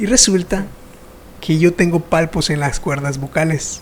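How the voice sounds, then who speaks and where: A man with lively intonation at a fairly slow pace, against noticeable background noise. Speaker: podcast host. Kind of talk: interview conversation.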